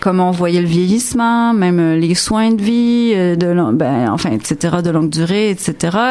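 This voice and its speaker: Over noticeable background noise, a woman with a fairly low voice speaks at a very slow pace, with lively intonation and very even loudness. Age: 50s. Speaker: interdisciplinary artist. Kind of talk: radio interview. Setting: studio.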